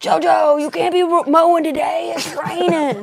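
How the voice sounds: High-pitched and moderately paced, a put-on character voice.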